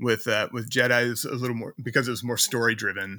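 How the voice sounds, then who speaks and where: A man's bright, sharp, medium-pitched voice with an American accent at a fairly quick pace, in a very clean recording with a silent background. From Virginia, US (Richmond area). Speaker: composer. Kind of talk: interview conversation.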